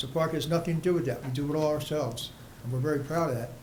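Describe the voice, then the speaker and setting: A man talks at a very fast pace in a fairly high pitch. Room echo is audible. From South Jersey. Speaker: resident speaking at public comment. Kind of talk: public comment at municipal meeting. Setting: township committee meeting.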